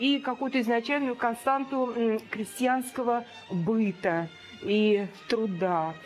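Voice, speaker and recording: Music plays in the background as a woman speaks. Her pitch is fairly high with ordinary variation. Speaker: art historian. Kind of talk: museum art lecture. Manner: hesitant, many filler sounds.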